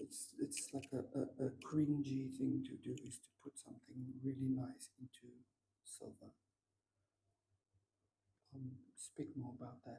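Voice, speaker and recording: Soft-spoken, relaxed delivery at a fairly slow pace, with long, frequent pauses. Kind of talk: ASMR gemstone ramble to camera. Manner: soft-spoken, relaxed, rambling.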